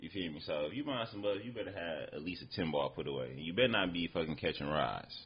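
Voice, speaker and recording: Vocal fry runs through this man's fairly quick speech, which shows very wide pitch swings. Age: 20s. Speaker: guest with a regular job, former street hustler. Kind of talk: casual podcast conversation.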